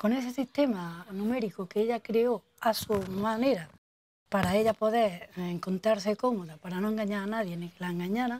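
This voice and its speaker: A woman with a fairly high voice speaks at a moderate pace. Her loudness swings widely while her pitch varies in an ordinary way. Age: 50s. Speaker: local resident interviewee. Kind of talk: oral history testimony. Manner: halting.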